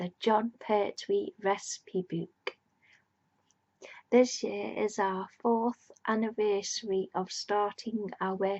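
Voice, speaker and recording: The voice is soft-spoken, with monotone, flat intonation. It moves at a very slow pace. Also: woman, medium pitch for a woman. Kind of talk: ASMR reading of a book.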